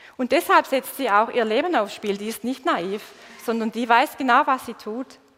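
Speaking with a Swabian accent, a woman talks at a moderate pace in a high pitch with ordinary pitch variation. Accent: Swabian dialect, still audible. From Swabia, southern Germany. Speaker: preacher. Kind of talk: sermon. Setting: church stage with congregation, livestreamed.

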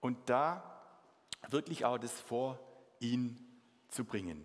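A man talks at a very slow pace. He has a Swabian accent. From Swabia, southern Germany. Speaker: mission organization leader, guest preacher. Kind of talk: sermon. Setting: church service with congregation.

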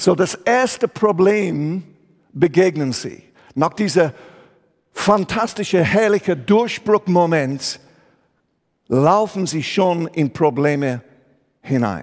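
In a very clean recording with a silent background, a man speaks with an English accent at a high pitch and lively intonation. His pace is very slow, with long, frequent pauses. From England. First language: English (speaking German). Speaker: pastor. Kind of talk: sermon.

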